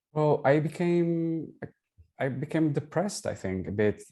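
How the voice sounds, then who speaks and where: On a very clean recording with a silent background, a man with a Portuguese accent speaks with lively intonation. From Portugal. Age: 40s. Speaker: digital consultant and designer. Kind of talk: testimonial interview. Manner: hesitant, with fillers.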